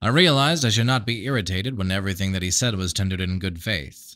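Recorded very cleanly over a silent background, a man with an unremarkable speaking voice talks at a fairly quick pace and fairly low pitch with lively intonation. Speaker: amateur audiobook narrator. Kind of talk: audiobook reading.

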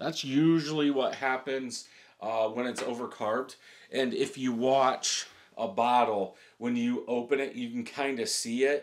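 Fairly even intonation and a fairly slow pace come through over a quiet background. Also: man. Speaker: beer reviewer. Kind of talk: casual review chat. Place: home room.

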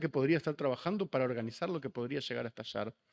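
Against a quiet background, the man's intonation sounds lively. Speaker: panelist, writer and activist; panelist. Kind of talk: panel discussion. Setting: auditorium panel with audience and interpreters. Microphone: podium.

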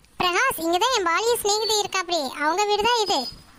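A woman does a squeaky, cartoonish character voice at an extremely high pitch and a fairly quick pace. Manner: polite, measured.

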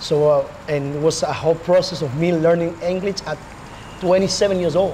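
A man with an Argentine accent speaks at a fairly quick pace with fairly even intonation. His fairly high voice has a slightly mellow tone, with faint background noise.

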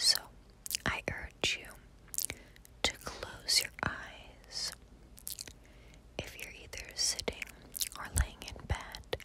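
Someone whispers very slowly, with long, frequent pauses, against noticeable background noise. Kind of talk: ASMR personal attention with positive affirmations. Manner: whispered, soft-spoken.

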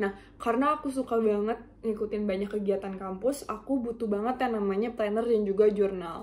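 Speaking with an ordinary speaking voice, the woman stays fairly high in pitch, her intonation fairly even. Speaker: university student. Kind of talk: self-introduction presentation. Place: home room. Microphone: webcam.

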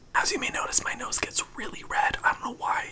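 Someone whispers at a fairly quick pace. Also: man. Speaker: skin care YouTuber. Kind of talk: ASMR skin care routine. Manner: whispered. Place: home room. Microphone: studio mic.

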